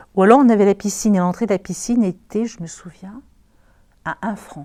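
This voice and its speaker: The speaker is a woman with a dark, mellow tone. She moves along at a fairly quick pace. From southern France, Marseille. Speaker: local resident sharing memories. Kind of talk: interview, recollection.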